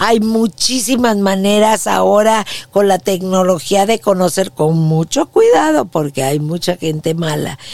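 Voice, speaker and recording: A woman speaks at a fairly slow pace with hardly any pauses, her pitch medium and its variation ordinary. Noticeable background noise runs behind her. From Mexico City. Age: 60s. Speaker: podcast host, former TV news anchor. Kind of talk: personal testimony monologue.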